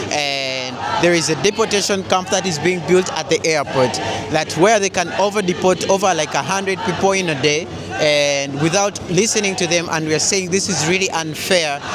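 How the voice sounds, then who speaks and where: Over noticeable background noise and audible room echo, a man with a high pitch talks at a moderate pace with ordinary pitch variation. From Uganda. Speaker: video blogger documenting a protest. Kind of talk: street interview. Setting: outdoors at a street demonstration.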